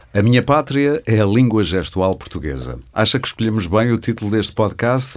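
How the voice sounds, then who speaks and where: This is an ordinary speaking voice. It moves at a fairly quick pace with lively intonation. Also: man, very clean recording, silent background. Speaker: podcast host. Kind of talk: interview podcast host. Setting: studio.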